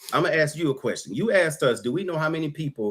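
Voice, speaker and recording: A man's voice with lively intonation. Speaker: political debate participant. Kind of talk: heated debate. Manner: loud; animated.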